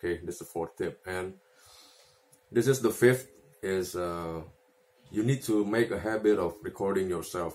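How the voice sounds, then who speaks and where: A man's fairly low voice with ordinary pitch variation, a moderate pace and long, frequent pauses. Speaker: guitar player giving tips. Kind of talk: casual tutorial, video talk. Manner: halting, filler-heavy, repeats words; casual, self-deprecating. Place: home room. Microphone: phone near.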